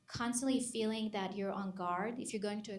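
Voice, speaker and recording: Noticeable background noise runs behind this woman. She talks at a moderate pace with fairly even intonation. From Israel. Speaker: psychologist. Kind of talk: panel discussion.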